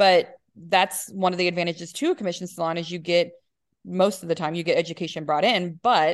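An ordinary speaking voice from a woman, fairly low in pitch and at a fairly quick pace. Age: 30s. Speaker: hairstylist. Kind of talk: casual chat.

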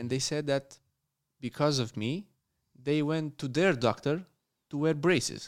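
In a very clean recording with a silent background, a man talks at a fairly slow pace and fairly high pitch, using ordinary pitch variation and long, frequent pauses. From Romania. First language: Romanian. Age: young. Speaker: dentist. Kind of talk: casual interview. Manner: halting.

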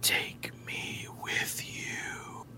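The voice is a whispered, put-on character voice. Loud background noise is heard behind it. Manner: eerie, beckoning.

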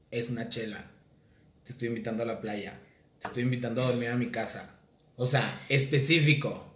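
Noticeable background noise and audible room echo surround a man's voice. He talks at a fairly quick pace with medium pitch and monotone, flat intonation. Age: 30s. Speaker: podcast host and content creator. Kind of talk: casual chat.

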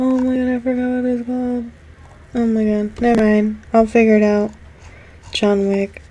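A woman with a fairly high pitch speaks at a moderate pace, taking long, frequent pauses, amid noticeable background noise. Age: 20s. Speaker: podcast host. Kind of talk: casual solo chat. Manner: animated.

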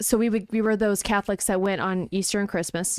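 In a very clean recording with a silent background and a dry, close sound with no echo, a woman with a normal speaking voice talks at a medium pitch with fairly even intonation. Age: 40s. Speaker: conservative podcast host. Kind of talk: casual chat.

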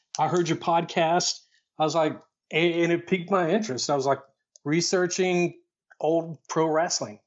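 Speaking at a moderate pace with long, frequent pauses, a man with a high pitch keeps fairly even intonation and very even loudness. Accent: Tennessee. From Tennessee, near Chattanooga. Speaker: air force veteran and wrestling history researcher. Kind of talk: casual interview.

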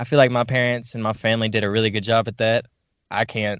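Speaking very fast, a man keeps a monotone, flat intonation. His pitch is fairly low. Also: quiet background. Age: young. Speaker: podcast host. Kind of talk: casual interview.

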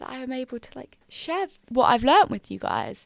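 A woman in an English accent, high-pitched and fairly quick, with a dry, close sound with no echo and a very clean recording, silent background. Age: 20s. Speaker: podcast host and university student. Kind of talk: casual solo chat.

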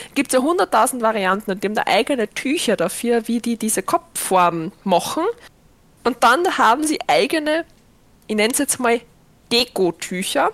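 At a moderate pace, a woman with a fairly high voice speaks in an animated tone with very wide pitch swings, in a dry, close sound with no echo. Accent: Viennese. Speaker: podcast host and streamer. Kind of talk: casual chat.

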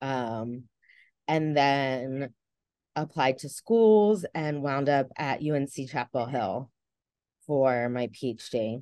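A woman with a New Jersey accent speaks very slowly in a very deep, low pitch with a dark, mellow tone and ordinary pitch variation. She leaves long, frequent pauses against a quiet background. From New Jersey, near Philadelphia. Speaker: research scientist and assistant professor. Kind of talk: casual interview. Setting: video call.

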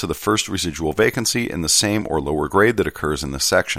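Fairly quick speech from a man with a very deep, low pitch. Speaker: podcast host reading a postal union contract manual. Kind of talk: reading aloud. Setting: home recording on a laptop. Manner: lively, not monotonous.

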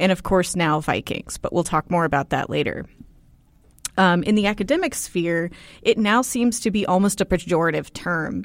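In a plain, everyday voice, a woman with an American accent talks at a moderate pace and medium pitch with ordinary pitch variation, on a very clean recording with a silent background. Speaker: co-host and PhD student. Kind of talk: casual chat.

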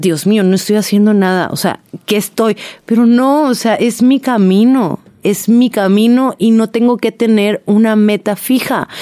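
A woman's dark, mellow tone at a fairly slow pace, with fairly even intonation and very even loudness. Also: fairly high pitch for a woman. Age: 20s. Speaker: podcast host. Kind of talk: casual monologue.

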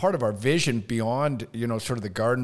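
An ordinary speaking voice with fairly even intonation. The recording is very clean, with a silent background. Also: man. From Canada. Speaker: school association executive. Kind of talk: casual interview.

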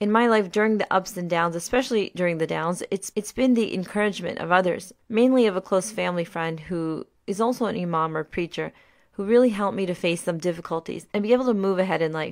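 Ordinary pitch variation marks this very fast delivery in a Mid-Atlantic accent. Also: woman, medium pitch for a woman. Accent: American, Mid-Atlantic. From US, Maryland. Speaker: podcast host. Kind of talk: scripted narration.

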